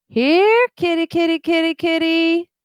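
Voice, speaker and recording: The pitch sits at an extreme high. It's a put-on character voice. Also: moderate pace. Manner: eerie, taunting, sing-song.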